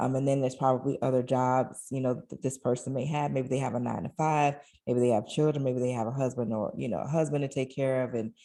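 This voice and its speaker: A woman's very deep, low voice with a dark, mellow tone, very fast pace and fairly even intonation, in a quiet background. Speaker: online course creator. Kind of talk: sales pitch. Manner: casual.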